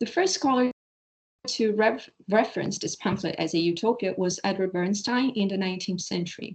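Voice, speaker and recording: A woman talks at a moderate pace with ordinary pitch variation. Her voice sits at a medium pitch and is somewhat breathy. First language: Portuguese. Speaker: PhD researcher presenting a paper. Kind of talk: academic paper presentation. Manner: halting, stumbling over words.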